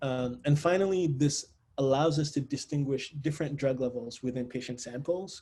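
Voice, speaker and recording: Somewhat breathy and dark, mellow in tone, a man's fairly high voice shows ordinary pitch variation on a very clean recording with a silent background. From Nigeria (Lagos). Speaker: engineering researcher, assistant professor. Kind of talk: academic seminar talk. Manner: fast.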